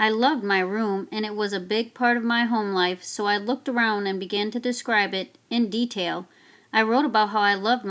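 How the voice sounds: The intonation is fairly even. It belongs to a natural reading voice.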